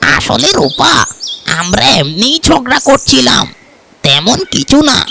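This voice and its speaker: This is a cartoonish character voice at a middle pitch with very wide pitch swings. It moves at a fairly slow pace. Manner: squabbling, childish.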